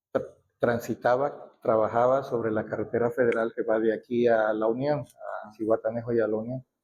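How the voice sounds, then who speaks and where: At a moderate pace and medium pitch, a man talks in a monotone, flat way with hardly any pauses. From Mexico, Acapulco, Guerrero. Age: 70s. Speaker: local elder sharing history. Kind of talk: oral history interview. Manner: halting, with fillers and restarts.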